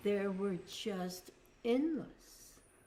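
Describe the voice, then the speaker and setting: Very slowly, a woman speaks with a dark, mellow tone. Audible room echo surrounds her voice. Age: 70s. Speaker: spiritual teacher. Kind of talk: spiritual talk.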